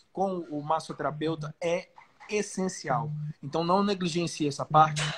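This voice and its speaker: This man's voice sits high in pitch. The rise and fall of his speech stays fairly even. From Belém, Pará, northern Brazil. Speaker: professional bodybuilder. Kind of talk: casual chat.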